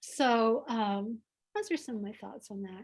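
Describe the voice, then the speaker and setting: With a Southern US accent, a woman speaks at a moderate pace. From US South. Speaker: author. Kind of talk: interview answer at a reading event. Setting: video call from home.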